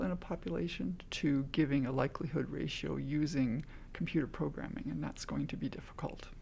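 Dark and mellow in tone with vocal fry, the voice has lively intonation and a Canadian accent. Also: woman. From Canada, small-town Ontario. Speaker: forensic DNA analyst. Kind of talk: interview.

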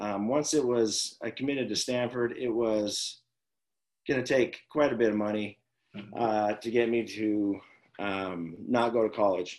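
A man with an American accent speaks in a plain, everyday voice at a medium pitch, with ordinary pitch variation and a fairly slow pace. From Las Vegas, Nevada. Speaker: former pro baseball player and high school coach. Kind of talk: casual interview chat.

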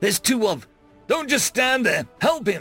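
Over faint background music, a man puts on a character voice that is high-pitched, bright and sharp with a slightly husky edge, swinging widely in pitch at a fairly slow pace.

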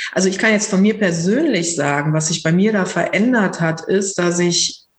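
Audible room echo surrounds a woman whose voice is somewhat breathy. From Lower Rhine region, Germany. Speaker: psychotherapist and mindfulness teacher. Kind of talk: casual interview conversation.

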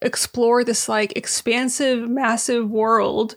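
Speaking at a fairly slow pace, a woman has a high pitch. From California and Syria. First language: Arabic. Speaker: podcast guest. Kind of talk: casual chat.

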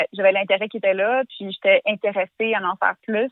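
In an ordinary speaking voice, a woman talks at a fairly quick pace, fairly high in pitch with ordinary pitch variation. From Quebec, Canada. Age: 20s. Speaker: interviewee living abroad. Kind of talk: casual conversation. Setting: phone call.

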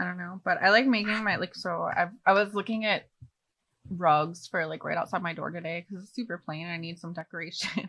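A woman with an American accent and an unremarkable speaking voice talks at a fairly quick pace with fairly low pitch, fairly even intonation and big swings in loudness. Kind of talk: casual chat.

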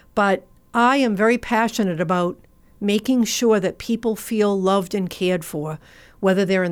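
Speaking with a Massachusetts accent at a moderate pace, a woman uses a medium pitch and ordinary pitch variation on a very clean recording with a silent background. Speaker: nonprofit founder and veterans outreach worker. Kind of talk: radio interview.

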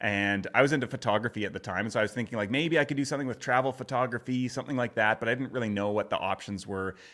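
A man talks very fast at a medium pitch with ordinary pitch variation and hardly any pauses. His tone is bright and sharp, on a very clean recording with a silent background. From Canadian prairies. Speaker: podcast marketing consultant. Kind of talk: interview conversation.

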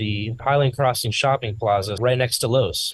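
The voice sounds somewhat breathy. Its intonation stays fairly even. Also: man. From South Florida. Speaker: bakery owner. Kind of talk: casual interview. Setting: in his bakery with customers.

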